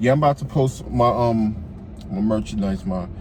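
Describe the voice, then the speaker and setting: A man talks at a moderate pace while noticeable noise sounds behind him. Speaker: YouTube vlogger. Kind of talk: casual self-help monologue. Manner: stuttering.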